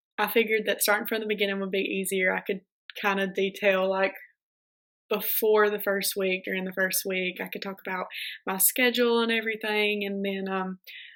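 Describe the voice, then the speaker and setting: On a very clean recording with a silent background, a woman talks at a fairly quick pace with a Southern US accent and monotone, flat intonation. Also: medium pitch for a woman. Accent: Southern US (South Georgia). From US South, South Georgia. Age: 20s. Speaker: chiropractic student vlogger. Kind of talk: casual vlog talk. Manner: casual, with many filler ums.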